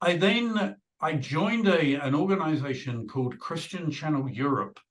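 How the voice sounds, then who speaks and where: Speaking at a fairly slow pace, a man with a British accent uses lively intonation. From UK. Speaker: video producer. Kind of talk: interview.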